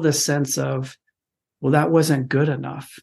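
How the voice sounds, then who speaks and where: Against a quiet background, a man speaks at a moderate pace. He has an unremarkable speaking voice, fairly high in pitch. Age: 50s. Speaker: fatherhood podcast guest. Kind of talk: casual chat.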